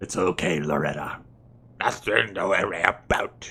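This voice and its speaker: A man puts on a raspy character voice, very deep and low, at a moderate pace. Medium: game stream. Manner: calm, condescending.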